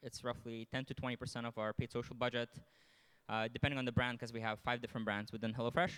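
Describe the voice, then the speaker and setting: In a Lithuanian accent, a man speaks with a dry, close sound and no echo, on a very clean recording with a silent background. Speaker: marketing executive. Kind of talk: conference panel talk.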